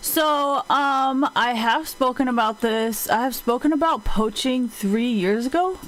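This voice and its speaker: A woman with a high voice talks at a fairly slow pace, with hardly any pauses and ordinary pitch variation. Her loudness stays very even, and there is noticeable background noise. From Taiwan. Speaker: livestreamer. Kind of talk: casual livestream chat. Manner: casual, halting.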